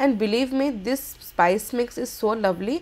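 A woman with an Indian accent, high pitch and lively intonation. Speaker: cooking channel host. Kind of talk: cooking tutorial. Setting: kitchen. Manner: animated, enthusiastic.

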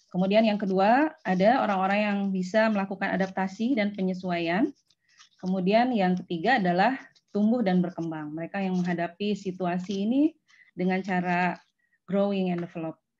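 Her pitch shows ordinary variation. The woman keeps a moderate pace. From West Java, Indonesia (Bandung); West Java, Indonesia. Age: 40s. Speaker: university lecturer. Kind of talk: lecture. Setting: video call. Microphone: video call.

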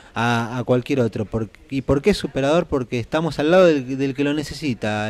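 A man's pitch rises and falls in an ordinary way as he talks at a moderate pace. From Argentina, Buenos Aires province. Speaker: local politician. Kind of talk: interview. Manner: halting. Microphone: handheld.

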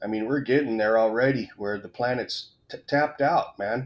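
The man's intonation stays fairly even as he talks at a moderate pace. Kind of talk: casual opinion rant to camera. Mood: irritated, ranting. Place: home room.

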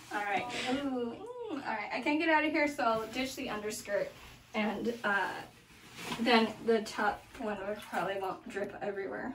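Noticeable noise sits behind a woman whose pitch varies in an ordinary way as she talks at a moderate speed. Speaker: vlogger. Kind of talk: casual vlog chat. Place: bathroom. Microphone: camera far.

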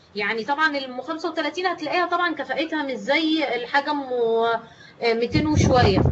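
A woman speaks in a high pitch at a fairly slow pace with hardly any pauses. Noticeable background noise is present. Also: ordinary pitch variation. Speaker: teacher trainer. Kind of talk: online lecture.

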